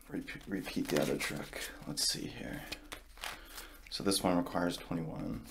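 A soft-spoken man with long, frequent pauses over noticeable background noise. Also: moderate pace. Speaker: card magician roleplay host. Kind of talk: ASMR card magic roleplay. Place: home room.

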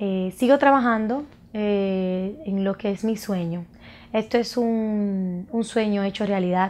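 Speaking very slowly with a Dominican accent, a woman keeps a medium pitch and ordinary pitch variation. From Dominican Republic, Santo Domingo; Dominican Republic. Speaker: makeup artist and cosmetics entrepreneur. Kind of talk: personal introduction to camera. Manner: halting, with frequent fillers. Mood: warm, proud. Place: studio.

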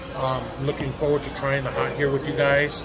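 Slow-ish speech from a man, fairly unhurried, over clear background music. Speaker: mukbang vlogger. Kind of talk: casual vlog chat. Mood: relaxed, glad to be back. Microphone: phone near.

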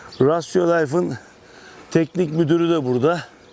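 Heard over noticeable background noise, the voice moves at a moderate pace with fairly even intonation. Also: man. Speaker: livestock farming YouTuber. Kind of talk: interview questions on a farm visit. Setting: outdoors.

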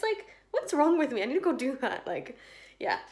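Over a quiet background, a woman with a British accent speaks with very wide pitch swings. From UK. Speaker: vlogger. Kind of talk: casual vlog monologue. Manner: rambling, chatty. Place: home room. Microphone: phone near.

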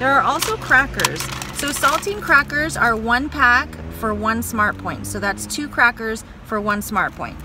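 A woman speaks at a moderate pace over background music, the sound dry with no echo. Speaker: vlogger. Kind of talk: casual vlog chat. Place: car. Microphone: phone near.

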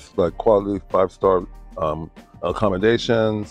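A man is heard in a dry sound with no echo, with faint music in the background. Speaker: Buddhist practitioner. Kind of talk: interview answer. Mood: warm, earnest, reflective. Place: waterside.

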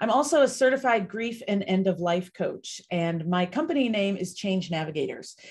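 A woman talks at a moderate pace in a somewhat breathy voice. The background is quiet. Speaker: grief coach. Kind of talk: live online panel discussion. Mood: warm, engaged. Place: home room. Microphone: webcam.

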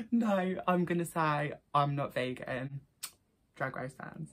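A woman speaks with an Essex accent. Her pitch is very deep and low. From Essex, England. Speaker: vlogger. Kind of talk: casual talk to camera. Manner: chatty, upbeat. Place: home room. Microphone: phone near.

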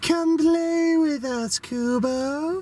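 A put-on character voice pitched high. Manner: creepy, eerie; inviting, sinister.

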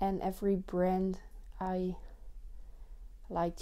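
Very slowly and in a monotone, flat way, a woman with a Dutch accent speaks in a dark, mellow tone. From Netherlands. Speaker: vlogger. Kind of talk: casual announcement to camera; casual vlog chat. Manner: hesitant, many fillers. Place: home room. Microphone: lapel.

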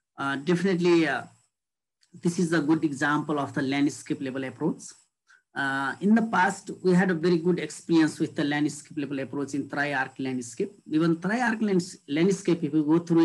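A man with a Nepali accent speaks at a moderate pace, his pitch fairly high with ordinary variation. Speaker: government official; panelist. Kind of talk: panel discussion. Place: home room. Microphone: video call.

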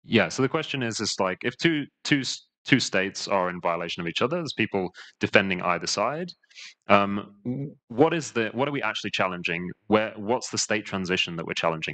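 A man talks at a fairly quick pace with lively intonation. His pitch is fairly low and his tone fairly bright.

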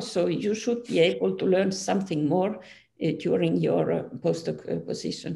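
This voice has a Finnish accent. The pace is fairly slow. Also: woman. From Finland. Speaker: physics professor; physics professor interviewee. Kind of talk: interview. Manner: halting. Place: home room. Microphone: video call.

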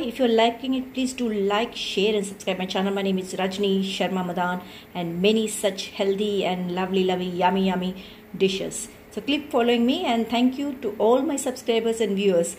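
Noticeable background noise sits behind a woman with an Indian accent, who talks at a fairly quick pace in a medium pitch with ordinary pitch variation. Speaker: cooking video creator. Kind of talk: cooking tutorial. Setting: home kitchen.

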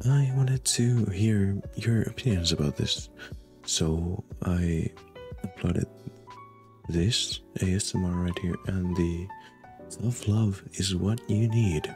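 A man with a very deep, low pitch speaks very slowly, with ordinary pitch variation. Long, frequent pauses break up his speech over music in the background. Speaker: ASMR roleplay voice actor. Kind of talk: casual talk to camera.

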